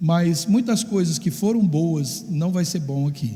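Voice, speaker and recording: A man's high voice, lively in intonation, at a fairly slow pace, with audible room echo. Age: 60s. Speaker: pastor. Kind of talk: sermon. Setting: church. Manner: halting.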